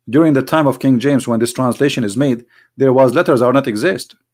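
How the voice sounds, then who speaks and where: A man speaks with an Arabic accent. The recording is very clean, with a silent background. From Middle East. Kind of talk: religious talk show monologue. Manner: halting, repeats words; animated.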